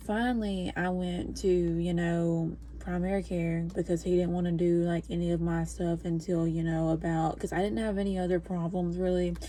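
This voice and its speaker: A woman talks quietly, her loudness very even throughout. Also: moderate pace. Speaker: podcaster and new mother. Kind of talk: casual vlog chat. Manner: hushed, trying to be quiet; rambling with many fillers.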